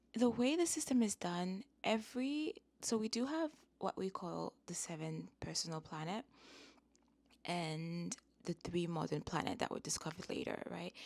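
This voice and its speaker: Soft-spoken, a woman talks at a moderate pace with a dry, close sound and no echo, on a very clean recording against a silent background. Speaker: astrologer. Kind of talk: casual talk to camera about astrology. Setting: recording at a family home. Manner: soft-spoken, low voice; mellow.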